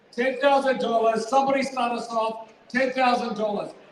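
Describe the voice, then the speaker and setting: Audible room echo colors a man's extremely high-pitched voice as he speaks at a fairly quick pace. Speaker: charity auctioneer. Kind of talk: live charity auction pledge appeal. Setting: fundraising dinner hall with audience. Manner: loud; energetic.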